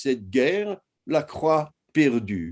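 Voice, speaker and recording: A man speaks with very wide pitch swings and a dark, mellow tone. The background is quiet. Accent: American. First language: English (speaking French). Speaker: historian. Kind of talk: lecture. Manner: halting.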